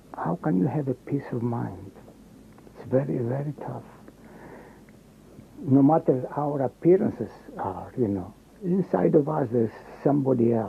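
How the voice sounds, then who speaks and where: With noticeable background noise, a man at a medium pitch speaks with lively intonation and long, frequent pauses. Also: moderate pace. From Greece, Athens. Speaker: Holocaust survivor. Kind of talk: testimony. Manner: halting.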